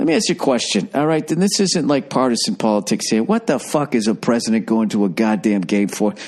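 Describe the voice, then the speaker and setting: Talking very fast with hardly any pauses, a man at medium pitch keeps his loudness very even while his pitch swings very widely. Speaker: comedian podcaster. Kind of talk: casual monologue. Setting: hotel room. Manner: quieter than usual, inside voice.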